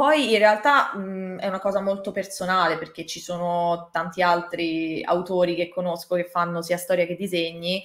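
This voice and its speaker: There is audible room echo as a woman speaks at a moderate pace and fairly low pitch with fairly even intonation and hardly any pauses. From Italy. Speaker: manga artist; interviewee. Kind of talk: interview. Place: home room.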